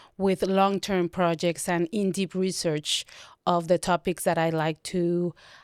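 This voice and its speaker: In a Spanish accent, a woman with a fairly low pitch speaks in a flat monotone at a fairly slow pace. The recording is very clean, dry and close, with a silent background and no echo. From Mexico. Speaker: documentary photographer. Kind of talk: interview.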